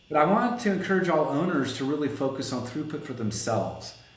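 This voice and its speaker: A man with a fairly high pitch, very wide pitch swings and a fairly quick pace, amid audible room echo and noticeable background noise. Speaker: collision repair shop owner and consultant. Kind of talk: podcast interview. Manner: fast; animated.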